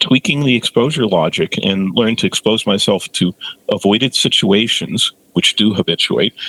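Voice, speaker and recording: A man's plain, everyday voice at medium pitch, with ordinary pitch variation, a fairly slow pace and a dry, close sound with no echo. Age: 60s. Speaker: OCD therapist. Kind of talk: interview.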